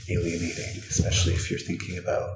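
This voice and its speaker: Soft-spoken and at a moderate pace, a man talks over noticeable background noise. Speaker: ASMR creator. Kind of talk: soft-spoken ASMR book flip-through. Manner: soft-spoken, comforting.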